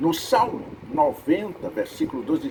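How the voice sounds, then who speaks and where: Noticeable background noise sits under a voice with very wide pitch swings. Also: man. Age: 80s+. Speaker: preacher. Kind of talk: sermon.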